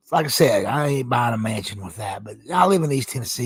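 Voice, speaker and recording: At a fairly quick pace, a man talks with lively intonation and a somewhat breathy voice. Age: 50s. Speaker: gaming streamer, military retiree. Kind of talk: casual live stream monologue. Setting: live stream. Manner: rambling, hesitant fillers.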